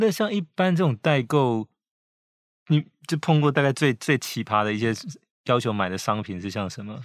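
On a very clean recording with a silent background and a dry, close sound with no echo, a man at medium pitch and moderate pace makes very wide pitch swings and takes long, frequent pauses. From Taiwan. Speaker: podcast host, magazine editor-in-chief. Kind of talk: interview.

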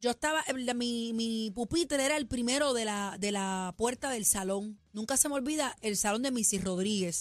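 A woman's fairly high, animated voice at a moderate pace, with ordinary pitch variation, very even loudness, and a very clean recording over a silent background. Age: middle-aged. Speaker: radio host. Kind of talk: casual chat.

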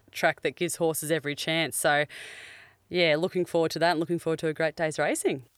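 In a very clean recording with a silent background, a woman talks with an Australian accent. Her voice is very deep and low, with monotone, flat intonation. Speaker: former jockey. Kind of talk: casual chat. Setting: podcast van.

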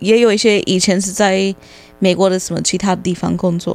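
A woman with an English accent talks at a medium pitch in a monotone, flat intonation. The recording is very clean, with a silent background. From United States. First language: English (speaking Chinese). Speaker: English tutor. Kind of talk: casual chat.

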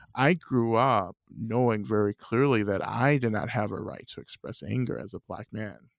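A man with an unremarkable speaking voice talks at a moderate pace and medium pitch with hardly any pauses, ordinary pitch variation and big swings in loudness, recorded in a dry, close sound with no echo. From US South, North Georgia. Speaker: Buddhist teacher and author. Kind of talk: interview.

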